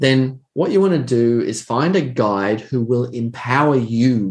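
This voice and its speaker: A man with an Australian accent, medium pitch and ordinary pitch variation, at a very slow pace. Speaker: trading educator. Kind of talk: interview answers.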